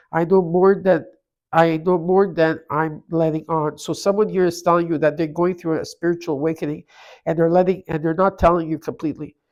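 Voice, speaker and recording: On a very clean recording with a silent background, a woman speaks at a moderate pace with a fairly low pitch and monotone, flat intonation. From Canada. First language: not English. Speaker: tarot reader. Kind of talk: tarot reading.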